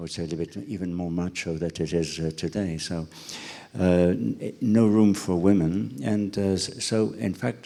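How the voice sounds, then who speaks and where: With a French accent, a man speaks in a very deep, low voice that has a dark, mellow tone. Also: ordinary pitch variation, moderate pace. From France (Cognac region). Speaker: president of a culinary school. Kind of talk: interview. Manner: halting, many fillers.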